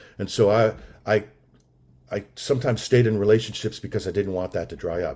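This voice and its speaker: A man speaks at a fairly quick pace with a fairly low pitch and a somewhat breathy sound. The recording is very clean, with a silent background. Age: 60s. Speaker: recovery meeting speaker. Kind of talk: testimony.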